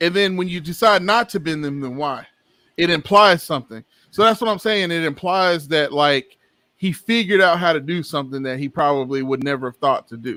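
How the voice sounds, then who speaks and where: This man's voice has a bright, sharp tone and a fairly high pitch, with lively intonation. He talks at a moderate pace on a very clean recording with a silent background. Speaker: podcast co-host. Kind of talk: casual chat. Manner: loud; animated.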